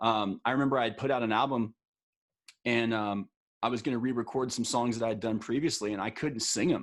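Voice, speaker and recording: An ordinary speaking voice with an American accent moves at a fairly quick pace with fairly even intonation, recorded very cleanly against a silent background. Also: man. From Texas, El Paso. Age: 40s. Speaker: singer-songwriter. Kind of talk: interview.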